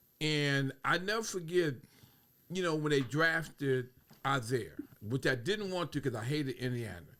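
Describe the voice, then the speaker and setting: With an American accent, a man speaks at a fairly high pitch in a bright, sharp tone, with lively intonation. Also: moderate pace. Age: 70s. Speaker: guest. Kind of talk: casual chat. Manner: halting, repetitive fillers.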